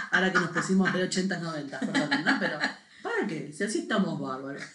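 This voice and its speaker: A woman's fairly low-pitched voice at a fairly quick pace, with audible room echo. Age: 40s. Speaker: podcast co-host. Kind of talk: casual chat.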